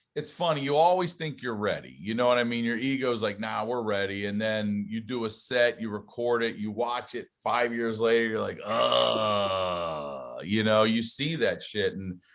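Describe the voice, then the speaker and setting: Through noticeable background noise, a man of medium pitch talks at a moderate pace with ordinary pitch variation and hardly any pauses. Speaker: stand-up comedian and podcast host. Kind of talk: casual interview chat.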